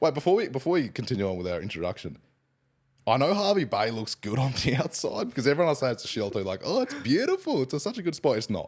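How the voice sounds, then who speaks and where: Very clean and silent in the background, the recording has a man with an Australian accent speaking at a very fast pace, his fairly high pitch swinging very widely, with vocal fry. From Queensland, Australia (Hervey Bay). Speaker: podcast co-host. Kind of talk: casual chat.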